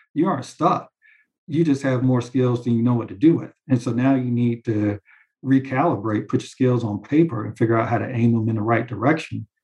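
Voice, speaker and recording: This man's voice sits at a medium pitch and is somewhat breathy. He talks at a fairly quick pace with ordinary pitch variation. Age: 40s. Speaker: commercial real estate banker. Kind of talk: interview.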